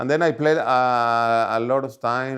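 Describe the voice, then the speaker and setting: At a fairly slow pace, a man speaks with a Paraguayan accent. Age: 60s. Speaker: former tennis player. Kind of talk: documentary interview. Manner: halting, non-native phrasing.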